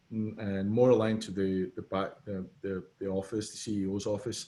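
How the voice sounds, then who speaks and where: In a Scottish accent, the voice carries a dark, mellow tone with flat, monotone intonation at a moderate pace. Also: man. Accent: Scottish accent, noticeable. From Scotland. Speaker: business consultant. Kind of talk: casual interview.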